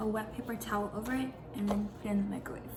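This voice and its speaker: A soft-spoken woman amid noticeable background noise and audible room echo. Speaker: vlogger. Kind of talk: casual vlog narration. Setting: home kitchen.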